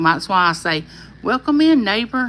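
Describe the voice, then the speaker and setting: In a Southern US accent, a woman speaks at a moderate pace with very wide pitch swings. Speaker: YouTuber hosting a live chat. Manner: friendly, chatty.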